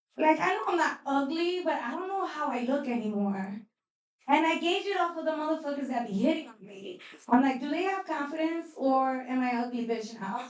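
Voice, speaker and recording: In an American accent, the speaker talks at a fairly quick pace with an animated tone and lively intonation, with audible room echo. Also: woman, high pitch for a woman. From New York. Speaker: stand-up comedian. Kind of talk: stand-up.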